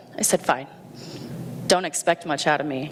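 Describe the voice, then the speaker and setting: A woman speaks with an American accent at a fairly low pitch with ordinary pitch variation. Noticeable background noise runs through the clip. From Indiana, US Midwest. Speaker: Navy veteran and schoolteacher. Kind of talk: personal story talk. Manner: loud; animated.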